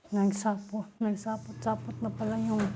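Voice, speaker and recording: Through noticeable background noise and audible room echo, a woman speaks at a fairly slow pace. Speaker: beauty vlogger. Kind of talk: casual tutorial vlog. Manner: deliberately loud.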